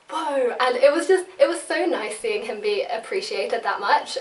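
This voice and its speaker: A woman's pitch varies in an ordinary way as audible room echo and noticeable background noise surround her. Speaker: vlogger and singer. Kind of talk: casual vlog narration. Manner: animated.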